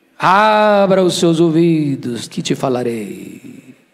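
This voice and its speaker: Audible room echo fills the space as a man speaks at a high pitch. He talks at a very slow pace with very wide pitch swings. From Brazil, Espírito Santo. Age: 60s. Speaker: pastor. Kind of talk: sermon. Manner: animated.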